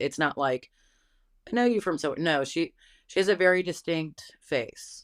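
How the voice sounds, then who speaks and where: Dry and close with no echo, the recording captures a woman speaking at a fairly slow pace in a fairly low voice with lively intonation. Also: very clean recording, silent background. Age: 30s. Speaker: interviewee. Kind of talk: interview.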